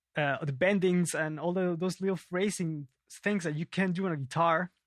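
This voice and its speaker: At a moderate pace, a man with a high pitch talks in a dry, close sound with no echo. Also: very clean recording, silent background. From Peru, Lima. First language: Spanish. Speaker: bass player and teacher. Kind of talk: casual interview. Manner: halting.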